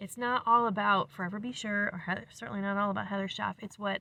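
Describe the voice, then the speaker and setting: A woman talks very fast at a medium pitch in an animated tone. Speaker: ministry leader and music channel host. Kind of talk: casual vlog talk.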